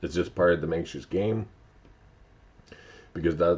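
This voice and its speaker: This man's voice is very deep and low. His pitch varies in an ordinary way. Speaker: vlogger. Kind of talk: casual monologue vlog.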